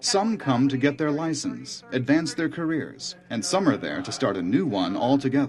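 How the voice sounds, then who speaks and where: Over noticeable background noise, a man with a fairly high pitch moves through very wide pitch swings at a moderate pace. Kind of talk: documentary narration.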